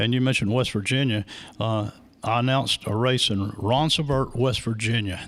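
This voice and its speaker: A man with an American accent speaks in an unremarkable speaking voice at medium pitch and a moderate pace, his intonation fairly even and his loudness very even, in a very clean recording with a silent background. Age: 60s. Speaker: racing track announcer. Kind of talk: interview, casual chat. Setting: live radio and video broadcast.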